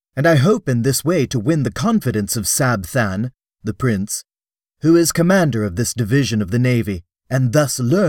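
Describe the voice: Over a quiet background, the speaker does plain reading aloud with lively intonation.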